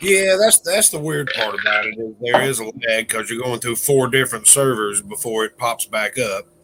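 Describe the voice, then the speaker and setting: A man with a Southern US accent talks at a medium pitch with lively intonation and hardly any pauses, over noticeable background noise. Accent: southern drawl. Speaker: livestream co-host. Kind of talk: casual chat.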